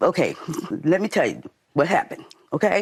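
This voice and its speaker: Ordinary pitch variation at a fairly quick pace. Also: woman. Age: 60s. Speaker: litigant in small claims court. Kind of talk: courtroom testimony. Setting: TV courtroom.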